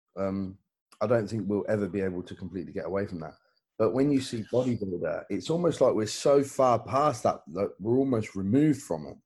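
A man talks at a fairly quick pace in a fairly low pitch, with a plain, everyday voice and lively intonation. His loudness swings widely against a quiet background. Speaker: podcast host. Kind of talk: casual chat.

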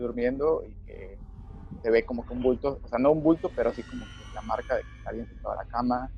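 With a Mexican accent, a man talks at a fairly quick pace over noticeable background noise. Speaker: podcast co-host. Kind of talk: casual chat.

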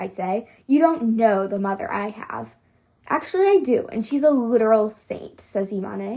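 Lively intonation from an unforced reading voice

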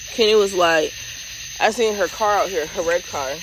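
A woman keeps a moderate pace as noticeable background noise plays behind her. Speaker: podcast host. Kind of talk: casual chat.

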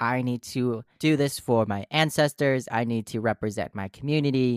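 A man with an unremarkable speaking voice and an American accent talks at a moderate pace and medium pitch on a very clean recording with a silent background, the sound dry and close with no echo. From US Midwest, Minnesota. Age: 20s. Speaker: actor and artist. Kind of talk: casual chat.

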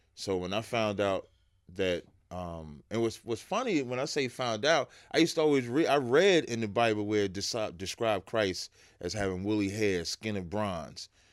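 In a very clean recording with a silent background, an ordinary speaking voice moves at a moderate pace with lively intonation. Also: man, fairly low pitch for a man. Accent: American. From New Jersey, Jersey City. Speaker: religious teacher. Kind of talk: interview.

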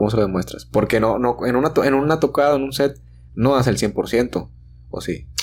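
A man talks at a medium pitch, with vocal fry in his voice. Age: 30s. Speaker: podcast host. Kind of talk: casual chat. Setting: studio.

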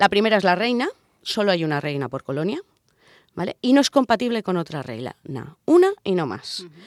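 The woman's medium-pitched voice, recorded dry and close with no echo, moves at a fairly quick pace with very wide pitch swings. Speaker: radio show co-host. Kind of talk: casual chat with scripted segments. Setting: radio studio. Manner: exaggerated sensual voice in intro.

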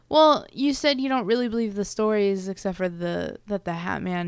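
A woman with an unremarkable speaking voice talks at a moderate pace, her medium pitch carried by lively intonation, on a very clean recording with a silent background. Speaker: podcast co-host. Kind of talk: casual podcast chat with story reading. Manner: casual, laughing, conversational.

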